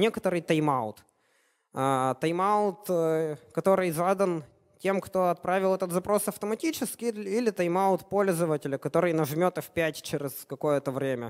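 A high-pitched man's voice with lively intonation over a quiet background. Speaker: software developer, conference speaker; conference speaker. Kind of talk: conference talk. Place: hall.

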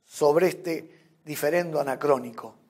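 A man's voice in a solemn tone. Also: quiet background. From Argentina. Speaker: member of parliament, speaker. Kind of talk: formal parliamentary speech at a summit, delivered oratory with solemn rhetoric. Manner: formal, measured, solemn, rhetorical with balanced contrasts. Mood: solemn, earnest. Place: studio.

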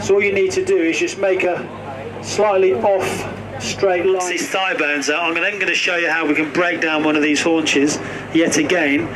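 Loud background noise is present. Through it, a man speaks at a moderate pace. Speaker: butcher giving demonstration. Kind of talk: live demonstration talk. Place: open country. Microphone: camera far.

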